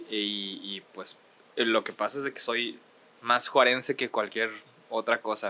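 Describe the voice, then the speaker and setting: A man with a northern Mexican accent speaks at a fairly slow pace and a medium pitch, using a bright, sharp tone and monotone, flat intonation broken by long, frequent pauses. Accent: Ciudad Juárez, northern Mexican. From Ciudad Juárez, northern Mexico. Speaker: musician and producer. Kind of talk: casual chat. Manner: hesitant, repeats words.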